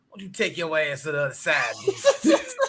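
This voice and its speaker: Someone uses a put-on character voice that is raspy and middle-pitched. The pace is moderate. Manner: bluntly telling someone off.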